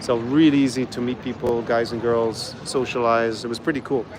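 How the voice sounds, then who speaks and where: This man keeps his intonation fairly even. Behind him, noticeable background noise is present. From Ireland. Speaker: travel vlogger. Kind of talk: live stream chat reading viewer questions. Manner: casual, with fillers and repetitions.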